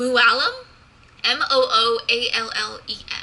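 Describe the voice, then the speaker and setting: Over noticeable background noise, a woman projects a raised voice that is high-pitched and swings very widely in pitch. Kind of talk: reading articles aloud. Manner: stutters and stumbles at times.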